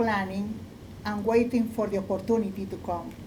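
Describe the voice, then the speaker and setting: A woman speaks with a Spanish accent amid audible room echo. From Venezuela. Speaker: artist. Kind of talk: panel discussion.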